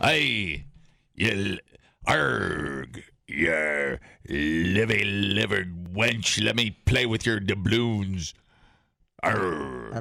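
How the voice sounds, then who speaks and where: A raspy, put-on character voice, very slow, with long, frequent pauses. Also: man, very deep, low pitch for a man. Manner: gruff, playful.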